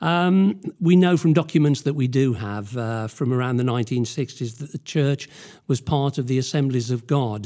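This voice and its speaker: In a British accent, a man with a dark, mellow tone talks at a moderate pace and medium pitch with ordinary pitch variation, on a very clean recording with a silent background. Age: 70s. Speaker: church elder. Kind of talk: interview telling history, using notes.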